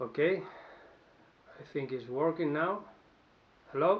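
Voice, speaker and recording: Here a man talks with a Spanish accent. His pitch sits fairly high. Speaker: musician. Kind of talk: answering interview questions to camera. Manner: halting, with false starts.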